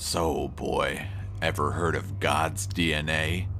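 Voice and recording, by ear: A man's put-on character voice, raspy and very deep, at a fairly slow pace with clear music in the background.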